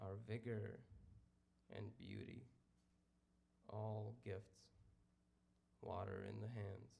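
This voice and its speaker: Speaking at a very slow pace with long, frequent pauses, the voice has a dark, mellow tone, vocal fry and fairly even intonation, with audible echo in the room. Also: man, fairly low pitch for a man. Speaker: poet. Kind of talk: poetry reading.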